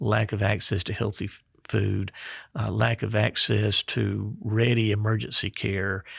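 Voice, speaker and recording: A man with a Mississippi accent speaks at a fairly slow pace on a very clean recording with a silent background and a dry, close sound with no echo. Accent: Southern US (Mississippi). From Mississippi Delta. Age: 60s. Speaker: state health officer, physician. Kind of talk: podcast interview.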